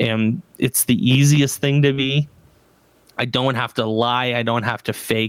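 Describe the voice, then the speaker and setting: A man with a Canadian accent and an ordinary speaking voice, fairly slow and fairly even in intonation, with a dry, close sound and no echo. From Canada, Ontario. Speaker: educator and podcaster. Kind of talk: casual interview chat. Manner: casual, many fillers and restarts.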